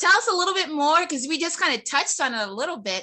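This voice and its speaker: At a very fast pace, a woman speaks in a raised, projected voice with an extremely high pitch, a bright, sharp, excited and energetic tone, and very wide pitch swings. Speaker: real estate show host. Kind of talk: casual interview chat. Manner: fast-talking; excited, energetic.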